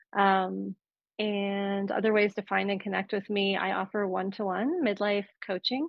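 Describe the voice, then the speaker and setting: A woman with an ordinary speaking voice talks at medium pitch and a moderate pace. Her intonation stays fairly even. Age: 40s. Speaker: therapist and midlife coach, author. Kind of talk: casual interview chat. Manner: frequent filler words.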